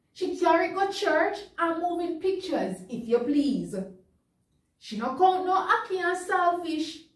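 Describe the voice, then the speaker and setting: With a Jamaican accent, a woman speaks fairly slowly at an extremely high pitch with ordinary pitch variation, and room echo can be heard. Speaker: news reader. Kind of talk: dialect poetry reading for children. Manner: comedic, performed. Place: studio.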